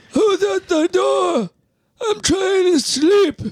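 The pace here is very slow. It is delivered in a put-on character voice. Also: man, extremely high pitch for a man. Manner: grumpy, woken from sleep.

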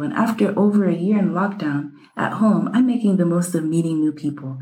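At a moderate pace, a dark, mellow, somewhat breathy voice speaks with ordinary pitch variation. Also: woman. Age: 20s. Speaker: podcast co-host. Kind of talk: casual chat. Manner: animated.

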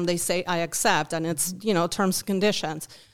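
A woman speaks with a Uruguayan accent in a monotone, flat intonation. The recording is very clean, with a silent background. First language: Spanish. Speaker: volunteer. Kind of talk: interview. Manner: halting, many fillers.

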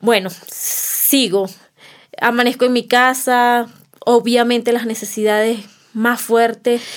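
A woman's high voice in a Venezuelan accent, very slow and flat in monotone intonation. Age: 30s. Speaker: migrant mother. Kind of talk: testimony.

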